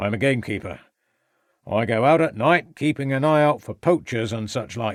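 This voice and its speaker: In a put-on character voice, a man speaks raspily at a moderate pace and medium pitch, on a very clean recording with a silent background. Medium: read story. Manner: curt, surly, evasive.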